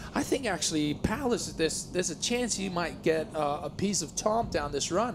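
The speech moves at a moderate pace with hardly any pauses. Noticeable background noise runs underneath. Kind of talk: sports commentary.

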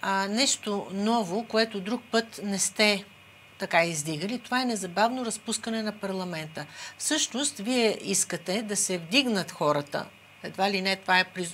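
A woman talks in a plain, everyday voice at a medium pitch and a fairly slow pace. Her pitch varies in an ordinary way, with light background noise. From Bulgaria. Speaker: TV talk show host. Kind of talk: TV interview. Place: studio.

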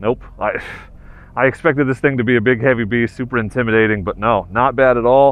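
A man's voice at a fairly quick pace, with a dry sound and no echo. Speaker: motorcycle reviewer. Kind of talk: casual vlog chat. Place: open country.

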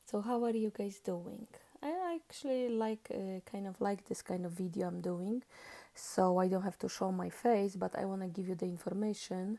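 Quiet and at a moderate pace, a woman speaks with a dark, mellow tone and fairly even intonation. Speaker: vlogger. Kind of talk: casual monologue vlog. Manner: halting, many fillers.

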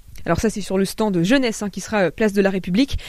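The speech moves at a fairly quick pace, with a dry sound with no echo and a quiet background. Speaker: radio host. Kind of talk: radio interview. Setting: studio. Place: studio.

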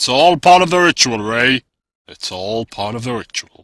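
At a moderate pace, the speaker uses lively intonation and big swings in loudness in a dry, close sound with no echo. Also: man, medium pitch for a man.

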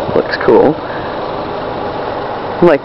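With an American accent, a man speaks in a dry sound with no echo over light background noise. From Maine, USA. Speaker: traveler filming a road trip. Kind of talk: casual travel vlog narration. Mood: relaxed, enthusiastic. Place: street. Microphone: phone near.

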